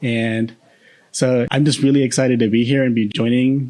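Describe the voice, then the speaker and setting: Against a quiet background, a man with an American accent speaks at a moderate pace, with medium pitch and ordinary pitch variation. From Boston, US. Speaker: podcast co-host. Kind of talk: casual chat. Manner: halting, many fillers.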